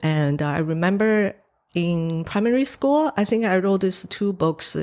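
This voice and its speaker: A woman's fairly low voice with a Chinese accent, lively intonation and a fairly slow pace. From Taiwan. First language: Mandarin Chinese. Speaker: painter. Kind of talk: interview. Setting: studio. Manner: hesitant, many fillers.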